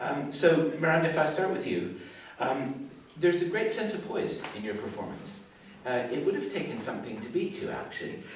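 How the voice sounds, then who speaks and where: Delivered at a fairly quick pace, the voice makes very wide pitch swings over noticeable background noise and audible room echo. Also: man, fairly high pitch for a man. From Canada. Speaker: guitarist, adjudicator and music teacher. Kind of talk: adjudication feedback talk. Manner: chatty, talkative.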